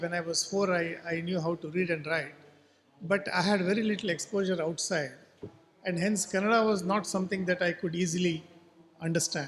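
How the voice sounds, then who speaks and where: A man speaks in a Goan accent with a high pitch. His pace is fairly quick and his intonation fairly even. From coastal Karnataka, India, near Karwar. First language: Konkani. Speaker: writer. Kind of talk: literary festival talk.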